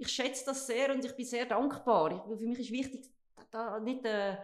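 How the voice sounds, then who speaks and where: A woman's high-pitched voice with fairly even intonation at a moderate pace, plus audible room echo. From central Switzerland (Obwalden). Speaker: director of a training campus and hotel. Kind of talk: podcast interview.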